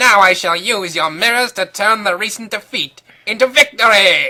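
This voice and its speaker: A put-on character voice, female-sounding, at medium pitch and a moderate pace. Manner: gloating.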